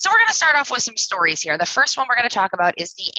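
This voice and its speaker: A woman talking at a very fast pace, with a dry, close sound and no echo. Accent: Maine. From New England. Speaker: cybersecurity company success manager. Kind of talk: webinar presentation. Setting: live webinar video call.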